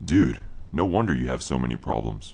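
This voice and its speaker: In a cartoonish character voice, a man speaks at a fairly quick pace with a very deep, low pitch. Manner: sarcastic, deadpan.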